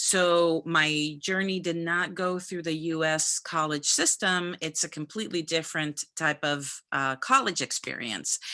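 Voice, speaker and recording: A woman with a Spanish accent, fairly low-pitched and bright, sharp in tone, at a fairly slow pace with fairly even intonation and hardly any pauses. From Dominican Republic. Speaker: physician. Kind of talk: career talk to students.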